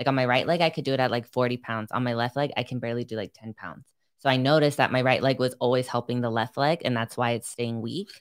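A woman's very deep, low voice at a very fast pace with hardly any pauses, on a very clean recording over a silent background. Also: ordinary pitch variation. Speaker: pro bodybuilder and gym owner. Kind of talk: casual chat.

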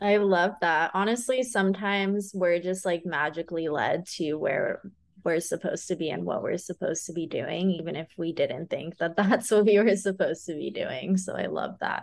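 A woman with an American accent at a medium pitch, a plain, everyday voice, ordinary pitch variation, a moderate pace and hardly any pauses. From California. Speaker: wellness coach and podcast host. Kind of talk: casual interview chat. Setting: remote recording.

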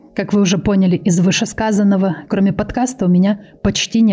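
A woman speaks at medium pitch and a moderate pace. Her intonation stays fairly even over noticeable background noise. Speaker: true crime podcaster. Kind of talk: casual chat. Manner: improvised.

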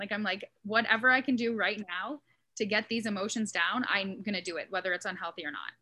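A woman speaks at a fairly quick pace in a medium-pitched voice with a bright, sharp tone. Her pitch variation is ordinary. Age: 30s. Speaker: mental health content creator. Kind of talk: casual interview.

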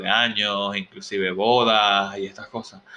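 A man speaks in a fairly low voice. His intonation is monotone and flat. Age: 30s. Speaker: podcast host. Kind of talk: casual solo monologue. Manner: hesitant, filler-heavy.

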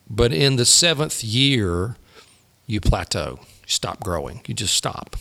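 A man at medium pitch with a bright, sharp tone, vocal fry and very wide pitch swings. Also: fairly slow pace. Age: 50s. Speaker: pastor. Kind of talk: casual chat.

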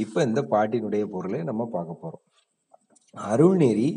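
A man speaks with lively intonation and a fairly low pitch. His is a plain, everyday voice. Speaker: school teacher. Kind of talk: lecture.

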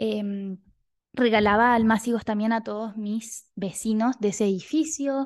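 Against a quiet background, a woman talks at a fairly slow pace with a fairly high pitch and fairly even intonation. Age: 20s. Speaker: clinical psychologist and podcast host. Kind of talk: casual solo monologue.

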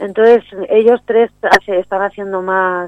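Using a normal speaking voice, a woman speaks at a medium pitch with fairly even intonation. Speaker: poet. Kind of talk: poetry reading, spoken word; interview. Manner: solemn, measured, declamatory delivery.

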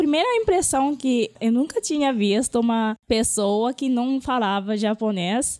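Speaking with a Japanese accent, a woman with a high pitch uses lively intonation. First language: Japanese (speaking Portuguese). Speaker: Japanese language teacher. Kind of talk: interview.

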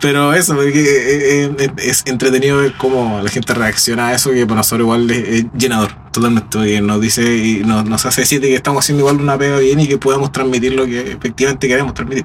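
Over noticeable background noise, a man with a Chilean accent speaks very fast at a medium pitch, with very even loudness and fairly even intonation. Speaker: singer in a tribute band. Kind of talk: casual interview.

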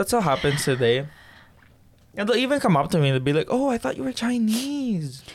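A man's voice, high in pitch, with very wide swings in pitch. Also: fairly quick pace. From Philippines. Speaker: podcast host. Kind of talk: casual chat.

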